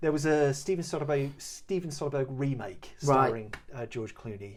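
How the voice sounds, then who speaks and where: Mumbling at a moderate pace, a man speaks at a fairly high pitch with ordinary pitch variation on a very clean recording over a silent background. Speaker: podcast co-host. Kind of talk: podcast film discussion.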